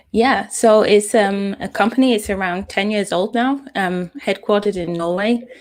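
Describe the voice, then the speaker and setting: A woman with a British accent, medium in pitch, at a moderate pace with fairly even intonation, on a very clean recording against a silent background. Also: hardly any pauses. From UK. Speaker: data scientist. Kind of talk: interview.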